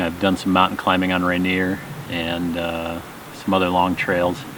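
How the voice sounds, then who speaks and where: A man's very deep, low voice with an American accent, monotone and flat, over noticeable background noise. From Minnesota, US Upper Midwest. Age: 40s. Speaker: pilot and hiker. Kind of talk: casual interview on trail. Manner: hesitant, many fillers.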